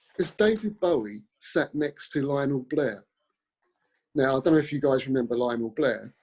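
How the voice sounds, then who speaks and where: A man with a London accent speaks at a fairly high pitch. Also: moderate pace. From South London, England. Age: 60s. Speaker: actor. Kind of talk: casual chat. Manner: halting.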